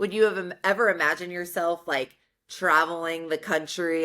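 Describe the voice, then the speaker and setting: A woman with a plain, everyday voice, fairly low in pitch, with an American accent at a moderate pace, in a very clean recording with a silent background. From New York, Westchester. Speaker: podcast host. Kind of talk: casual interview.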